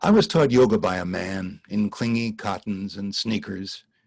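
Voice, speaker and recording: Here a man has an unremarkable speaking voice, with a fairly low pitch, a fairly slow pace and an American accent. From Los Angeles. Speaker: poet and voice actor. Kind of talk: poetry reading. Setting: live video call.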